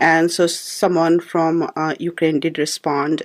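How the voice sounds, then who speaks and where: The speaker has an Indian accent and a fairly slow pace. Intonation stays fairly even. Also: woman. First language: Hindi. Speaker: poet and filmmaker. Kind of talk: radio interview answer.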